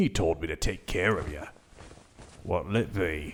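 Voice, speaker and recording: Using a put-on character voice, a man speaks at a moderate pace in a very deep, low pitch that is rumbling and gruff. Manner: grumbling, gruff.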